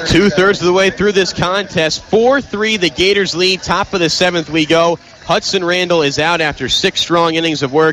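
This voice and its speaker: The loudness stays very even throughout. Noticeable background noise sits behind the voice. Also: man, high pitch for a man, ordinary pitch variation. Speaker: aspiring sports broadcaster, radio play-by-play announcer. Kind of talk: live baseball radio play-by-play. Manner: fast, energetic, excited.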